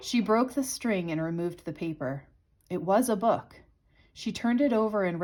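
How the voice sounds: The recording presents a natural reading voice.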